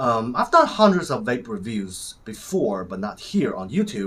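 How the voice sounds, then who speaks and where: A man with a Chinese accent speaks at a moderate pace, his voice showing vocal fry and very wide pitch swings. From China. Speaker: vape reviewer. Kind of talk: product review.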